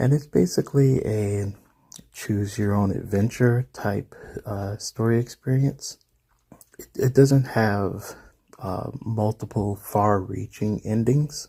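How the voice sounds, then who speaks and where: Speaking at a very slow pace, a man with a fairly low, somewhat breathy voice shows ordinary pitch variation and big swings in loudness. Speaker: fantasy story narrator. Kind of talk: casual talk to camera. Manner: hesitant, casual.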